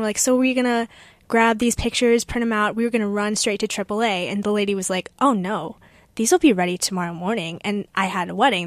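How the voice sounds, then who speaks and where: In a very clean recording with a silent background, a woman with a normal speaking voice talks at a fairly quick pace, her fairly high pitch showing ordinary variation. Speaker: college radio host. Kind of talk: casual chat.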